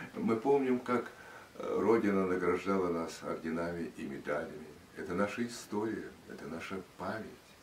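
A man with a fairly low pitch speaks at a moderate pace, with audible room echo and light background noise. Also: ordinary pitch variation. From Russia. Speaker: radio and TV announcer. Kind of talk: interview answer. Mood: reflective, solemn. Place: home room. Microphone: camera far.

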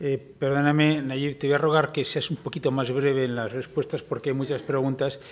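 Speaking at a fairly quick pace with hardly any pauses, a man with a Castilian accent holds a fairly high pitch in monotone, flat intonation. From Spain. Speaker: forum moderator. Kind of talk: moderated interview. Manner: formal. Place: hall. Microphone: podium.

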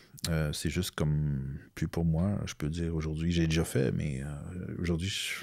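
Against a quiet background, with a dry sound and no echo, a man with a very deep, low voice speaks at a fairly slow pace and fairly even intonation. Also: hardly any pauses. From Quebec, Outaouais (north of Gatineau); Quebec. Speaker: comic book author and illustrator; comic book author. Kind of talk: interview. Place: studio. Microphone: studio mic.

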